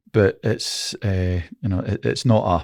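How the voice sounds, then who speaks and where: On a very clean recording with a silent background, a man with a Scottish accent speaks at a fairly low pitch, somewhat breathy, with ordinary pitch variation. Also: dry, close sound with no echo. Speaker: former football referee. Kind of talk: casual chat. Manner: halting.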